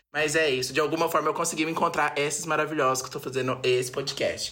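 A man talks at a very fast pace. His pitch sits fairly high. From Brazil, interior of São Paulo state. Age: 20s. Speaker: undergraduate student, podcast co-host. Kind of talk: casual chat.

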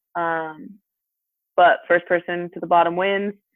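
Speech unfolds fairly slowly, its pitch varying in an ordinary way. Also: woman. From Utah, US. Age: 20s. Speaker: professional snowboarder, Olympian. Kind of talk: interview, casual chat.

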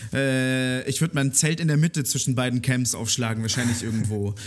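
The speech moves at a moderate pace with very even loudness. Noticeable background noise can be heard. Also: man. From Germany, Munich (Bavaria). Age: 20s. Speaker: music journalist and radio/podcast host. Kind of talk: casual interview chat. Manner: hesitant, many fillers and repetitions.

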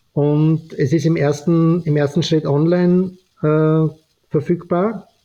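Very slow and fairly even in intonation, a man with an Austrian accent speaks at a fairly high pitch in a dark, mellow tone. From Austria, Vienna. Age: 50s. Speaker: fashion entrepreneur and author. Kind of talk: podcast interview.

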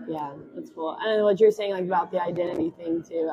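A woman with an American accent, medium pitch and fairly even intonation at a moderate pace, amid noticeable background noise. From West Tennessee (Jackson). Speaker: recent graduate, speech pathology. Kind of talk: casual chat.

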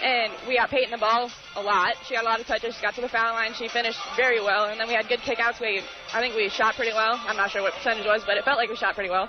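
Music plays in the background behind a very fast voice. The intonation stays monotone and flat. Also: woman, fairly high pitch for a woman. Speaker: college basketball player. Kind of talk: post-game interview. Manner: casual, hesitant, with fillers.

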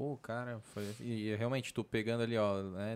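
Speaking at a moderate pace and medium pitch, a man has an ordinary speaking voice. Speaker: podcast host. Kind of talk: casual chat. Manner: casual.

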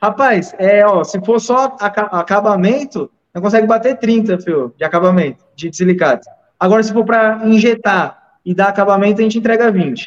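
He speaks at a moderate pace. The man's pitch is high, with ordinary variation. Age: 20s. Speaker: dental prosthetics technician and lab owner. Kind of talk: casual chat.

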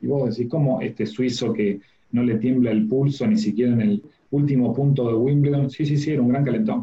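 Speaking at a fairly quick pace, a man sounds somewhat breathy at a medium pitch, with ordinary pitch variation and very even loudness. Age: 40s. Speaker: communication and public speaking coach. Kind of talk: interview.

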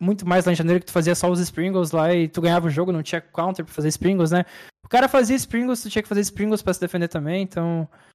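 The very clean recording, silent in the background and dry and close with no echo, holds a man speaking very fast in a high pitch with ordinary pitch variation. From Brazil. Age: 30s. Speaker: professional gamer. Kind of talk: interview. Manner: casual, slangy.

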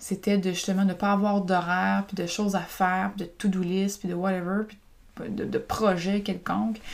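A woman speaks with a Quebec accent at a medium pitch. Her intonation stays fairly even. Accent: Québécois French. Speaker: podcaster and women's group coach. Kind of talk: personal storytelling monologue. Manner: casual, hesitant with many fillers.

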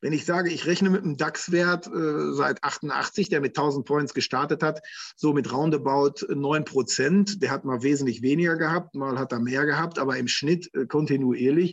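A plain, everyday voice from a man, pitched fairly high, with ordinary pitch variation and a moderate pace. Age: 50s. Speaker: financial advisor. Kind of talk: interview.

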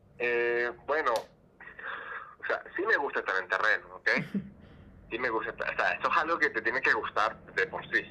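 Speech moves at a moderate pace, broken by long, frequent pauses. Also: man. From Venezuela. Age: 30s. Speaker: social anthropologist and doctoral student. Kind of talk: interview. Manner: halting, many fillers and repetitions.

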